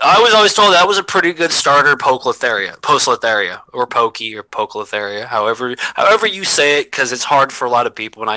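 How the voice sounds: Talking very fast with hardly any pauses, a man with a slight Southern US accent uses a fairly high pitch and very wide pitch swings. The sound is dry and close with no echo, though background noise is noticeable. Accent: slight southern, slurred.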